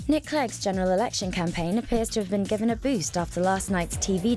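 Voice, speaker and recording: A woman with a British accent and medium pitch talks at a very fast pace with ordinary pitch variation, music playing in the background. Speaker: radio news presenter. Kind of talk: radio news bulletin read.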